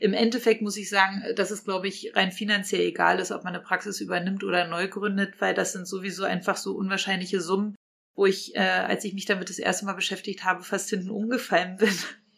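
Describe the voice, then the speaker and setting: A woman talks at a very fast pace with vocal fry. Her intonation is monotone and flat. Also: medium pitch for a woman. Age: 30s. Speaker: dentist and practice owner. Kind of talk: podcast interview.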